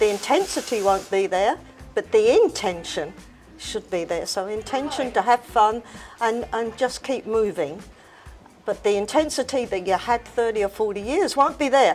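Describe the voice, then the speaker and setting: With music in the background, a woman with a fairly high pitch speaks at a moderate pace with lively intonation. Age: 80s+. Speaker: fitness instructor. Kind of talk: interview answer.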